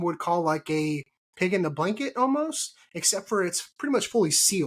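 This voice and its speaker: A man with a Texan accent speaks at a moderate pace, his high pitch carried by lively intonation. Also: very clean recording, silent background. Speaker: podcast host. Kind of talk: casual chat. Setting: live stream.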